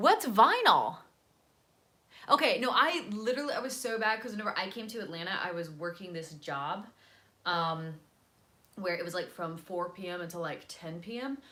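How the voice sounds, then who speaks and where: Noticeable background noise sits behind a speaker with an American accent whose animated tone, lively intonation and big swings in loudness come at a moderate pace, broken by long, frequent pauses. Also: woman, medium pitch for a woman. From US South, North Carolina. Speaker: vlogger. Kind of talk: casual livestream chat. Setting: selfie-stick video at home.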